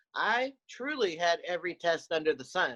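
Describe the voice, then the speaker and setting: A woman speaks in a fairly low voice with lively intonation. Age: 50s. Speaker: breast cancer survivor, program graduate. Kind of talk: testimony. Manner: halting, with frequent word repetitions.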